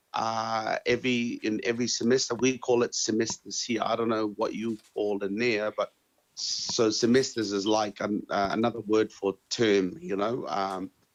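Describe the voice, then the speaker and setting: Using a Tongan accent, a man speaks at a moderate pace with medium pitch and fairly even intonation. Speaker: interviewee sharing life experience. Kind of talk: interview answers. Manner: halting, many fillers and repetitions.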